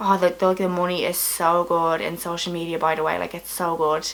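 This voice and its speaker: A woman with a Dublin accent speaks at a moderate pace in a medium pitch, her intonation flat and monotone, over noticeable background noise. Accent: Irish, Dublin. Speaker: comedian. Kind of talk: casual vlog talk to camera. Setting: at home, late at night.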